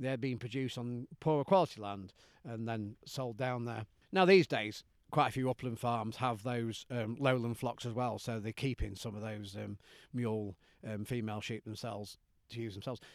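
A man with a Derbyshire accent talks at a moderate pace. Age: 50s. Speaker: sheep farmer and farming union representative. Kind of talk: interview. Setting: outdoors.

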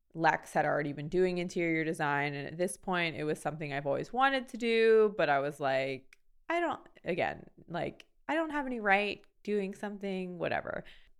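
Speaking at a moderate pace in an ordinary speaking voice, a woman with a fairly low pitch uses lively intonation. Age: 30s. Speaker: makeup artist and designer. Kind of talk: casual chat.

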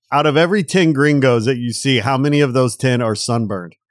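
An animated man with a fairly high pitch talks at a fairly quick pace with ordinary pitch variation. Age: 50s. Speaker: podcast host. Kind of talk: casual chat. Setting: studio. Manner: animated, jokey.

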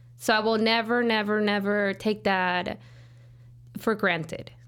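A woman's medium-pitched voice with a Mexican accent, fairly even intonation and a fairly slow pace. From rural Jalisco, Mexico. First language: Spanish. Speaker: business owner, cleaning company CEO. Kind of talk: casual interview.

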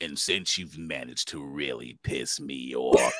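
This put-on character voice is raspy and menacing, pitched very deep and low. It moves at a moderate pace. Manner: menacing, villainous.

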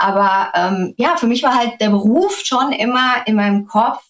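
At a fairly slow pace, a woman talks in an unremarkable speaking voice with ordinary pitch variation. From Germany, Sauerland. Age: 30s. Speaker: influencer. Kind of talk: interview.

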